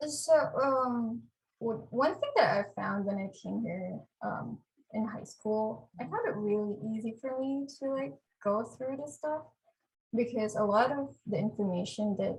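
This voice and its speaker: Her pitch is fairly high and varies in an ordinary way. The woman speaks at a fairly slow pace, somewhat breathy. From Philippines (Manila, Cavite). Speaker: biotech specialist, program alumna. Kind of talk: podcast interview.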